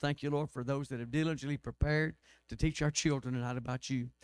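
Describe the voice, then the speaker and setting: Against a quiet background and with a dry sound with no echo, a man speaks very fast in a monotone, flat intonation. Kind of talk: church announcements and prayer. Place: church. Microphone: podium.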